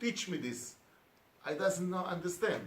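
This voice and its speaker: Amid audible room echo and noticeable background noise, a man with a Hebrew accent speaks at a high pitch with lively intonation. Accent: non-native English, Hebrew speaker. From Israel. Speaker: education speaker. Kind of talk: conference talk. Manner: halting.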